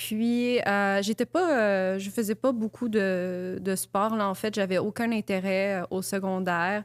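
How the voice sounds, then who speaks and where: With a Quebec accent, a woman speaks at a very slow pace and medium pitch with fairly even intonation and hardly any pauses, in a very clean recording with a silent background and a dry, close sound with no echo. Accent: Québécois French. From Quebec, Mont-Saint-Hilaire. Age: 20s. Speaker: content creator. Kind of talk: interview.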